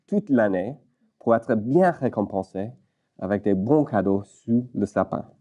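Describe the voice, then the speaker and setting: Speaking very slowly with lively intonation, a man with an English accent has a dark, mellow tone, heard in a dry, close sound with no echo. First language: English (speaking French). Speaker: pastor. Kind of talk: sermon. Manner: halting, many hesitations.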